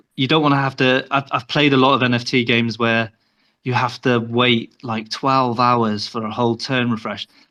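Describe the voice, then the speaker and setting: In a British accent, a man speaks at a moderate pace and medium pitch. His intonation stays monotone and flat. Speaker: game developer. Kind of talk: interview.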